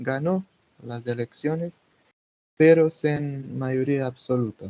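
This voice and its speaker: A man with a Portuguese accent speaks very slowly in a fairly high, dark and mellow voice with fairly even intonation. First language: Portuguese (speaking Spanish). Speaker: political activist. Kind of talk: interview. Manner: halting.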